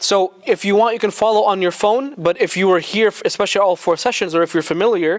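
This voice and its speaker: High in pitch, a man talks at a very fast pace with ordinary pitch variation, in a dry, close sound with no echo. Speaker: Quran teacher. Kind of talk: religious lecture. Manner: loud; animated.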